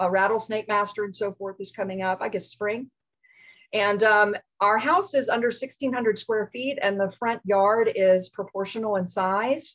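Against a quiet background, the speech moves at a moderate pace with fairly even intonation. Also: woman. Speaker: guest. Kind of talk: lecture. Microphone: video call.

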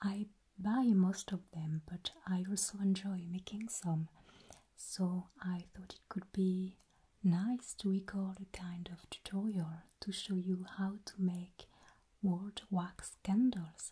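A soft-spoken, somewhat breathy woman with a dark, mellow tone, flat monotone intonation and a very slow pace. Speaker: video host. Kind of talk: soft-spoken tutorial intro. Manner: soft-spoken, hushed ASMR delivery. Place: home room.

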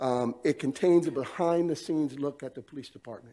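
A man speaks with a dark, mellow tone and fairly even intonation. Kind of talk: formal presentation. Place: hall. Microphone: podium.

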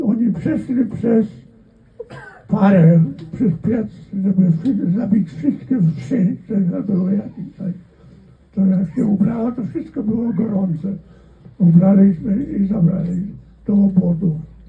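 With long, frequent pauses, a man speaks at a very slow pace and high pitch, using ordinary pitch variation. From Volhynia, interwar Poland. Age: 80s+. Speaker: World War II veteran. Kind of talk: interview answer.

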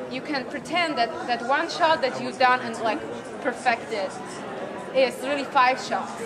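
Crowd noise runs behind a woman speaking at a moderate pace. Her pitch variation is ordinary. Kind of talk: casual explanation in conversation. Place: hall.

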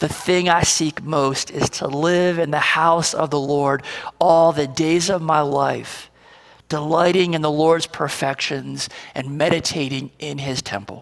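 This man has a fairly high voice for a man and a fairly even intonation. He talks at a fairly slow pace in a quiet background. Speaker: pastor. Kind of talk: prayer. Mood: calm, reverent. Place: church.

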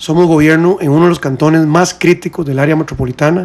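Fairly even in intonation, a man's speech moves at a fairly quick pace. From Costa Rica. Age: 40s. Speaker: presidential candidate; interview guest, candidate. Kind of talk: radio interview. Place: studio. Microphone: studio mic.

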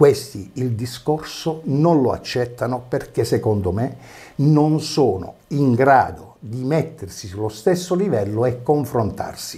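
With a dark, mellow, somewhat breathy tone, a man speaks very slowly at a medium pitch and with lively intonation. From Basilicata, Italy. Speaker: opposition town councillor, former regional councillor. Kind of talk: TV interview. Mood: indignant, polemical. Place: studio. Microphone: lapel.

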